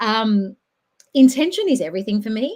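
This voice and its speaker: A woman with an Australian accent speaks in a dark, mellow tone with lively intonation. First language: not English. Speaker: podcast host and social worker. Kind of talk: casual chat.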